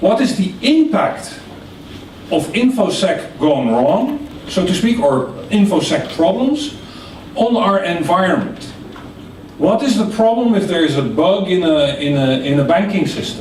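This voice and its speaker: A man with a non-native accent, high-pitched with very wide pitch swings and very even loudness, at a fairly slow pace amid noticeable background noise and audible room echo. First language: not English. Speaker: session speaker. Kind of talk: interactive lecture. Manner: halting.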